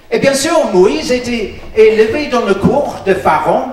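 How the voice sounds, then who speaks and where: In a room with audible echo and noticeable background noise, a man speaks very slowly with lively intonation. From Northern Ireland. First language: English (speaking French). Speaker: pastor. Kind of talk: sermon. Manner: halting, many hesitations.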